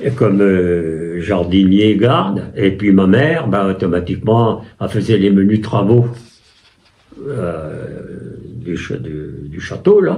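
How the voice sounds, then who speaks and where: Speaking at a very slow pace, a man with a fairly low pitch uses lively intonation amid audible room echo. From France, Loiret (Chessy near Orléans). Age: 80s+. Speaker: war veteran. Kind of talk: interview testimony. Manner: halting, with many hesitations.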